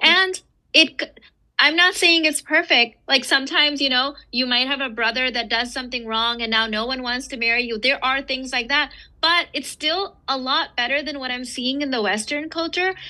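A woman's raised, projected voice, high in pitch, bright and sharp in tone, with ordinary pitch variation, a moderate pace and a quiet background. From raised in the West, Eastern heritage family. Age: 40s. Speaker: author and entrepreneur. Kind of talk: casual interview chat.

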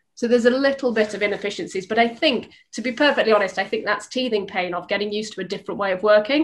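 A woman at a very fast pace, fairly high in pitch, with ordinary pitch variation. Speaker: insurance corporate development executive. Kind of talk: panel discussion.

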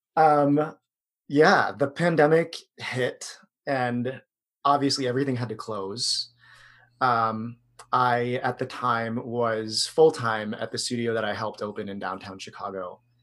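A man with an ordinary speaking voice and an American accent talks at a fairly slow pace. His medium pitch shows ordinary variation against a quiet background. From US, Filipino American. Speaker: yoga instructor. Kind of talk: interview. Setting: video call.

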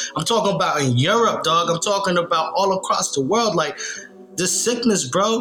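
Through audible room echo and noticeable background noise, a man talks at a fairly quick pace in a high pitch. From Nashville, Tennessee, US South. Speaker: podcast co-host. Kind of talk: casual chat.

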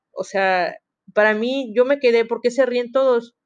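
At a moderate pace, a woman speaks in an ordinary speaking voice, fairly high in pitch, with ordinary pitch variation. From Mexico, Veracruz (Coatzacoalcos). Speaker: university student podcaster. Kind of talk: casual monologue.

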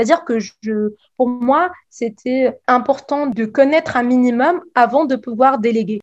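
Her pitch is high, and this woman shows ordinary pitch variation. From Tunisia. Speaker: pharmacist and cosmetics entrepreneur. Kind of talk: interview. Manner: halting.

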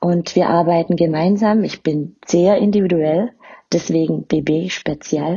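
A woman with a fairly low voice speaks very slowly, her intonation fairly even. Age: 30s. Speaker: podcast host and spiritual medium. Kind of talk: personal introduction monologue.

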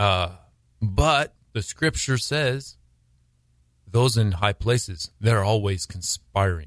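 On a very clean recording with a silent background and a dry, close sound with no echo, a man speaks very slowly with long, frequent pauses, in a somewhat breathy, fairly low voice with lively intonation. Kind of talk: radio interview. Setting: studio.

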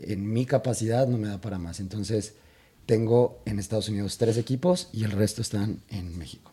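With a Mexican accent, a man speaks at a moderate pace in a dark, mellow, somewhat breathy voice of fairly low pitch and ordinary pitch variation. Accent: Mexican Spanish (Jalisco). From Mexico, Guadalajara (Jalisco). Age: 30s. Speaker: escaramuza riding coach. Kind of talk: casual interview chat.

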